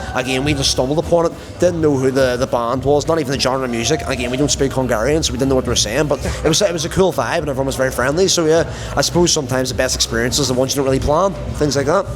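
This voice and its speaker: Speaking at a very fast pace with a strong Belfast accent, a man talks at a medium pitch over noticeable background noise. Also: ordinary pitch variation. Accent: strong Northern Irish (Belfast). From Northern Ireland, Belfast. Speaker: medical student traveler. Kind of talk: casual chat. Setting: hostel bar, drinking.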